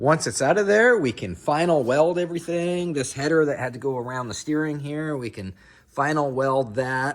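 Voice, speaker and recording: In a very clean recording with a silent background, a man with an unremarkable speaking voice talks at a moderate pace, fairly high in pitch with lively intonation. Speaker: car builder / fabricator. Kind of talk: workshop tutorial. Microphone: no microphone, camera audio.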